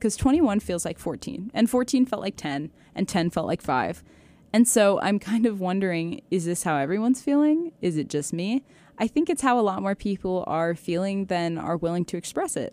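In a very clean recording with a silent background, a woman with an American accent speaks at a moderate pace in a dark, mellow tone with very wide pitch swings. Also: medium pitch for a woman, dry, close sound with no echo. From US Pacific Northwest, Seattle area. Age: 20s. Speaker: university student, podcast host. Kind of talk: casual solo monologue. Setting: home recording with microphone. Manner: animated.

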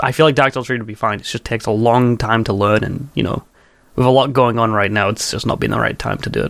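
Vocal fry marks this man's medium-pitched voice as he speaks at a fairly quick pace with ordinary pitch variation in a very clean recording with a silent background. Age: 20s. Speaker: speedrunner. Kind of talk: casual chat.

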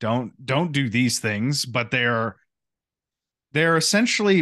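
This is a normal speaking voice from a man, pitched in the medium range. His intonation is lively. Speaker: podcast host. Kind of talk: casual chat. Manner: rambling, conversational.

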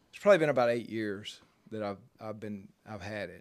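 In a very clean recording with a silent background, a man with a Mississippi accent speaks with ordinary pitch variation. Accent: Southern US (Mississippi). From US South, Jackson, Mississippi. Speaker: churchgoer sharing his story. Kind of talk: interview testimony. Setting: pastor's office.

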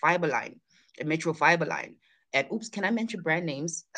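A bright, sharp tone with ordinary pitch variation comes through against a quiet background. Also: woman. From South Africa, KwaZulu-Natal near Durban. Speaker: fashion and textile entrepreneur. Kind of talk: interview.

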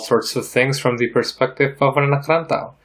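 A man keeps a moderate pace and fairly even intonation while noticeable background noise carries on behind him. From Indonesia (Jakarta). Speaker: podcast host. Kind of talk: casual chat.

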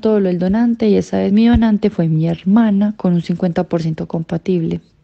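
A woman talks at a moderate pace in a plain, everyday voice, with medium pitch and fairly even intonation. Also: hardly any pauses. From Colombia, Sucre and Cúcuta. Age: 20s. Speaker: cancer survivor. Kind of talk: interview testimony.

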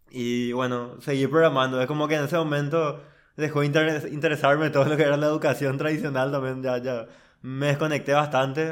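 A man speaks in a normal speaking voice, fairly high in pitch, with fairly even intonation. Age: 20s. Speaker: software engineer. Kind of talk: casual interview.

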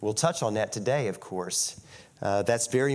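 A man's fairly low voice with an American accent. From US South, West Virginia. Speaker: guest preacher. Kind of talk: sermon. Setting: church.

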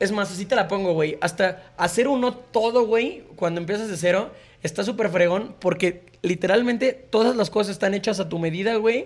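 Here a man speaks at a high pitch, with ordinary pitch variation. He keeps a moderate pace. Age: 20s. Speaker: musician. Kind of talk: casual chat.

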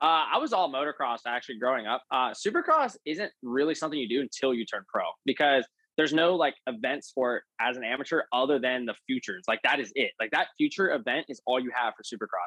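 A man with an American accent at a very fast pace, medium pitch and ordinary pitch variation. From Pennsylvania. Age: 20s. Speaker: professional motocross racer. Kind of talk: casual interview.

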